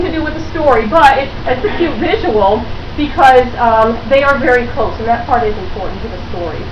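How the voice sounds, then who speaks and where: A woman's high, lively voice at a moderate pace, with noticeable background noise and audible room echo. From Rhode Island. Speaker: social worker trainer. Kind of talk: lecture to a class. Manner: conversational.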